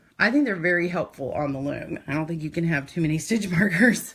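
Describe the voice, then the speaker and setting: Somewhat breathy, a woman speaks at a moderate pace in a fairly low pitch. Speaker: knitting teacher. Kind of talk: live stream tutorial. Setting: live video stream. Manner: casual, chatty.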